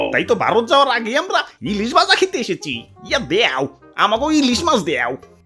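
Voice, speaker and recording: Over faint background music, a man puts on a cartoonish character voice with an extremely high pitch, raised and projected. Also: moderate pace. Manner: repeats exclamations like "oh my father".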